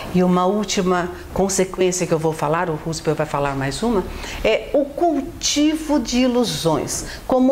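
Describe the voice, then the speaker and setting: Background noise is clearly audible. Over it, a woman talks somewhat slowly. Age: 60s. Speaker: self-help video co-host, writer and social worker. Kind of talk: motivational talk.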